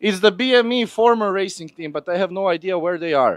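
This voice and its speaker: Recorded very cleanly against a silent background, a man with a non-native accent speaks at a moderate pace in a dry, close sound with no echo. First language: not English. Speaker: live event presenter. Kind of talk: live walkabout interviews at motorsport event. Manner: animated, playful.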